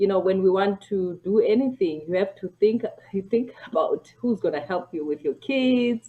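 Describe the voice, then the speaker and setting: The voice has a dark, mellow tone. Its pitch varies an ordinary amount. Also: woman, medium pitch for a woman, moderate pace. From South Africa. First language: a South African language. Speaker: family physician. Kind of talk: casual interview chat.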